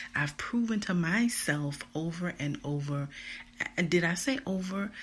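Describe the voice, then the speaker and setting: Calm and somewhat breathy, a woman speaks at a fairly slow pace in a fairly low pitch. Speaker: podcast host and motivational speaker. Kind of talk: motivational talk. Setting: live stream.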